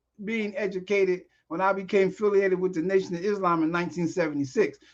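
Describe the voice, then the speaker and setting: A man with a high pitch projects a raised voice at a fairly quick pace. His tone is bright and sharp. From South Jersey, US. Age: 60s. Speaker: screenwriter and director, podcast guest. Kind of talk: casual chat.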